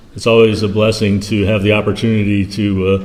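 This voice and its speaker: Noticeable background noise and audible room echo surround this recording. A man speaks in a fairly low voice. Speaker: ministry founder and guest speaker. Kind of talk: church talk / mission update. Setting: church. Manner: soft-spoken; halting, many fillers.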